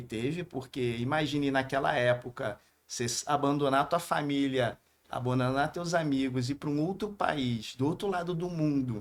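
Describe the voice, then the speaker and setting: Against a silent background in a very clean recording, a man with a strong Rio de Janeiro accent speaks at a moderate pace in a fairly high pitch, with ordinary pitch variation. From Brazil, Rio de Janeiro. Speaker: businessman. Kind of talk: podcast interview.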